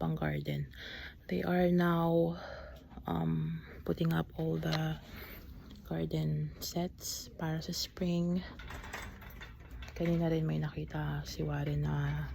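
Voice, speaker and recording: A woman speaks quietly. Audible room echo surrounds her voice. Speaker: vlogger. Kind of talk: casual vlog. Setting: store.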